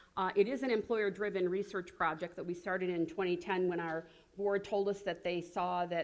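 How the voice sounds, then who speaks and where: The woman's fairly low pitch stays in fairly even intonation. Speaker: health coalition leader. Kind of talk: conference presentation. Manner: fast.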